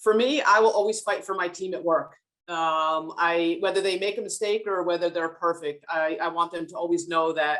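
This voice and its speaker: Speaking with a New Jersey accent, the woman has a fairly low pitch. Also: ordinary pitch variation, moderate pace. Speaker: business leader on a panel. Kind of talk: panel discussion.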